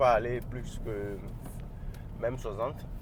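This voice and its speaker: A man speaks at a fairly slow pace. His tone is animated. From Africa. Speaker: car reviewer. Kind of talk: casual car review while driving. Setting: in a car.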